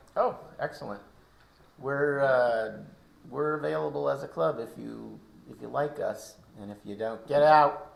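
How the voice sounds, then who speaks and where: A man speaks at a fairly slow pace with long, frequent pauses and big swings in loudness, over noticeable background noise. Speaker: amateur radio club leader. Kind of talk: casual club meeting chat. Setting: in-person club meeting. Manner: talkative, keeps going.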